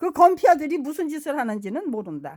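A woman talks with very wide pitch swings in a high voice. The recording is very clean, with a silent background. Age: 70s. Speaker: political vlogger. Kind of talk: monologue. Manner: halting.

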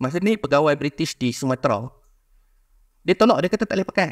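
A man speaking at a very fast pace against a quiet background. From Malaysia, Kedah; Malaysia. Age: young. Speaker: history society panelist; panelist. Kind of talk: public talk. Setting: museum forum with audience. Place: hall. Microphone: handheld.

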